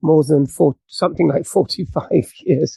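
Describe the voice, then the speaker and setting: A man with a British accent, fairly high pitch, ordinary pitch variation and a moderate pace. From England. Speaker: author and Masonic podcast host. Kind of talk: podcast interview.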